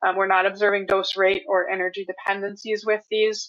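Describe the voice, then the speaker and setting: The woman talks at a medium pitch. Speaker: medical physicist presenting a webinar. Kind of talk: webinar presentation with Q&A. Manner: fast; hesitant, many fillers.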